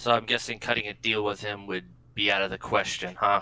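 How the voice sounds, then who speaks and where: Using a put-on character voice, a man talks fairly quickly at a fairly low pitch. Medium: actual play. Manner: casual, wry.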